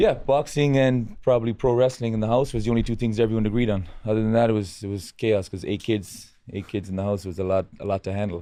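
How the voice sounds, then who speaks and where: Against a quiet background, a man with a western Irish accent and a dark, mellow tone at a fairly low pitch talks at a very fast pace. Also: ordinary pitch variation. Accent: Irish, west of Ireland. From west of Ireland, rural. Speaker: boxing coach. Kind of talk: casual interview. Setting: studio with live audience.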